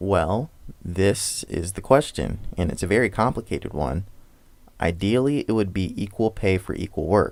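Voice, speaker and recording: On a very clean recording with a silent background, a man with a normal speaking voice talks at a moderate pace in a fairly low pitch, using lively intonation. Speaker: political commentary YouTuber. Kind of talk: scripted commentary narration.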